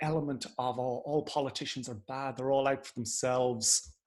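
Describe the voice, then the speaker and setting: A man with an Irish accent speaks at a moderate pace and a medium pitch against a quiet background. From Ireland. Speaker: political party director. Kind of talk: interview. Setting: video call.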